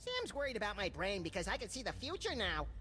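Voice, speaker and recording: Over clear background noise, a man rattles along at a very fast pace in a put-on character voice. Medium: video game. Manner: blunt, gleeful.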